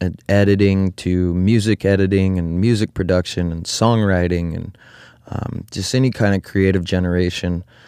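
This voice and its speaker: With an American accent, a man speaks at a fairly slow pace in a very deep, low, dark and mellow monotone, the sound dry and close with no echo on a very clean, silent recording. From Oregon, US. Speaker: podcast host. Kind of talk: casual chat.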